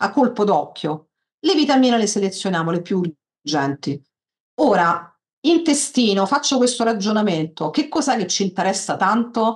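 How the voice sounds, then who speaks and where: Against a quiet background, a somewhat breathy woman speaks with very wide pitch swings and long, frequent pauses. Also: moderate pace. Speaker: software tutorial instructor. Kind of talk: tutorial. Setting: video call. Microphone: video call.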